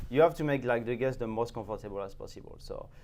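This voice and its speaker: A man speaks with a French accent. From France, Champagne. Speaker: sommelier. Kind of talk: interview.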